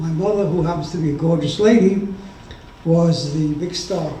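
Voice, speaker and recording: A man's high-pitched voice with fairly even intonation, audible room echo and noticeable background noise. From Yugoslavia (Serbia), then Hungary. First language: Serbian, then Hungarian. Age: 80s+. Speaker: Holocaust survivor, retired doctor. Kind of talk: testimony. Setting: remembrance ceremony with audience.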